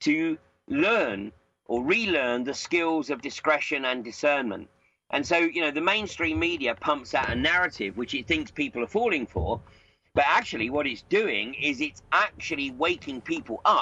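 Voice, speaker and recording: A man speaks in a normal speaking voice at a moderate pace. His pitch is fairly high, with lively intonation. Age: 60s. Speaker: political commentator. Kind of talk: interview. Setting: Skype call.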